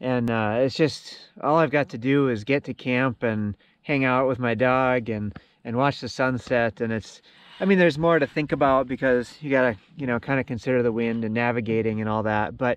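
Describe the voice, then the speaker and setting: The sound is dry, with no echo. The pace is moderate. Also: man, ordinary pitch variation. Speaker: solo camper vlogger. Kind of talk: casual vlog chat. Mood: calm, reflective. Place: boat. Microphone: phone near.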